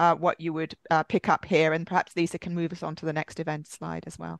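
Over a quiet background, a woman talks very fast in a monotone, flat delivery with fairly low pitch and a dry sound with no echo. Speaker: webinar moderator. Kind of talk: webinar moderation. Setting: video call. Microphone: video call.

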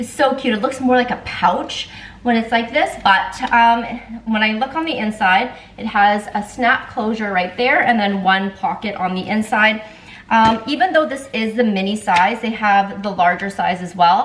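Pitch varies in an ordinary way as the words come at a moderate pace. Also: woman. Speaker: lifestyle vlogger. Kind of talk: casual haul vlog chat. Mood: cheerful, enthusiastic. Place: kitchen. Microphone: camera far.

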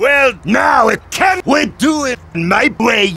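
Shouting at an extremely high pitch, a man speaks very slowly with very wide pitch swings. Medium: machinima. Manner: blunt, loud.

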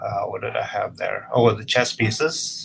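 Noticeable background noise accompanies fairly slow speech. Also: man. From Canada (Vancouver). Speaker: photographer. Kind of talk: presentation of own work. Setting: video call.

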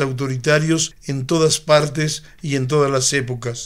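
In a plain, everyday voice, a man talks at a fairly slow pace with fairly even intonation. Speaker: reader of historical manifesto. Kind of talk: reading aloud. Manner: formal, solemn, measured; declamatory, earnest, steady pace.

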